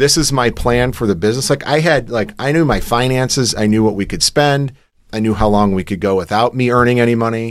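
Speaking with an American accent, a man with an unremarkable speaking voice talks at medium pitch and a fairly quick pace with ordinary pitch variation, in a very clean recording with a silent background. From Michigan. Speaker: entrepreneur. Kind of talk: interview. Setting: studio.

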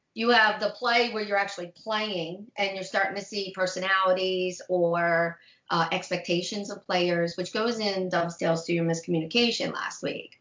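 A woman talks at a moderate pace with a medium pitch and hardly any pauses. Her intonation stays fairly even in an ordinary speaking voice. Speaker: therapist and tabletop player. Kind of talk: casual chat.

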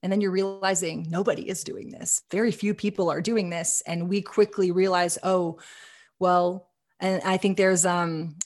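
With an American accent and an unremarkable speaking voice, a woman talks at a moderate pace and medium pitch with fairly even intonation against a quiet background. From Texas. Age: 30s. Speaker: cannabis business co-founder. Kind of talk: podcast interview.

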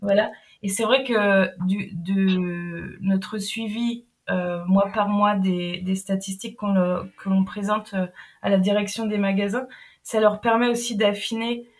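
At a very slow pace, a woman with a medium pitch speaks in a flat monotone. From Brittany, France. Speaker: anti-food-waste project manager. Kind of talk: interview. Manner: halting.

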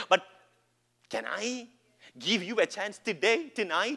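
A man speaks in a raised, projected voice with high pitch and a bright, sharp tone. His delivery is animated, with lively intonation. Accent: Keralan. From India (Kerala). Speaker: pastor. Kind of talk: Pentecostal revival preaching, call-and-response with congregation. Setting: church service with live audience. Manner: animated, rising exhortation with repeated rhetorical questions; emphatic, building crescendo with calls for amens.

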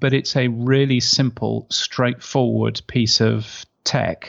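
A man with an English accent at a very slow pace. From UK. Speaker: radio and podcast industry expert. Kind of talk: interview.

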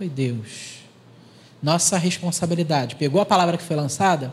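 A man speaks in a plain, everyday voice. His pitch is fairly high, with ordinary variation. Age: 40s. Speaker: clinical psychologist and teacher. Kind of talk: interview at a church youth service.

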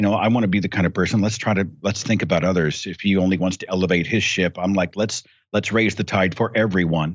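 With an American accent, a man talks at a very fast pace with hardly any pauses, his very deep, low pitch held to fairly even intonation. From United States. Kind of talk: casual chat.

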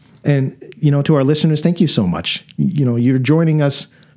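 A man speaks at a fairly quick pace. He has an ordinary speaking voice at a medium pitch. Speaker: podcast host. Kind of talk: casual interview chat. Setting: studio. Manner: conversational, informal.

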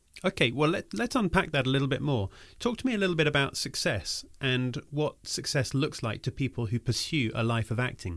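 With an ordinary speaking voice, a man talks in a fairly high pitch with lively intonation and hardly any pauses. The recording is very clean, with a silent background. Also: fairly quick pace. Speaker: podcast host. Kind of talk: scripted intro and casual interview.

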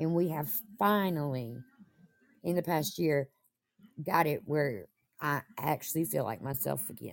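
With vocal fry and a very deep, low pitch, a woman speaks at a fairly slow pace using lively intonation and long, frequent pauses. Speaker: caller. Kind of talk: casual live chat, personal story.

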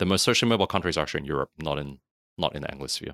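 A man with an Australian accent speaks in a very deep, low voice with vocal fry, a bright, sharp tone and ordinary pitch variation, on a very clean recording with a silent background and a dry, close sound with no echo. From Australia, Sydney. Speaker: productivity and systems consultant. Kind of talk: casual interview chat.

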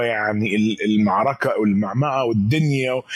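The intonation stays fairly even. It comes with an Egyptian accent. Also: man. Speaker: pop culture commentator. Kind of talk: casual chat.

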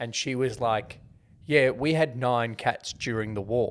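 Speaking at a fairly slow pace, a man with an Australian accent uses a medium pitch and ordinary pitch variation. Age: 30s. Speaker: podcast co-host, movie reviewer. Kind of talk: casual chat.

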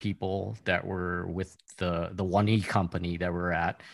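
Here a man speaks at a moderate pace with a very deep, low pitch. His intonation is monotone and flat, and the recording is very clean with a silent background. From Hawaii. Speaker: Twitch streamer, tabletop player. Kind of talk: casual chat.

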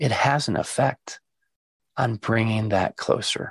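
A man's somewhat breathy, medium-pitched voice, with a dry, close sound and no echo. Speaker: guided meditation teacher. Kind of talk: interview conversation with a guided meditation segment.

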